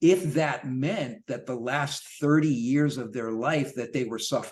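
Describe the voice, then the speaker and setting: A man's normal speaking voice, pitched fairly high, its pitch varying in an ordinary way. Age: 60s. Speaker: longevity and fitness coach, author. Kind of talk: podcast interview.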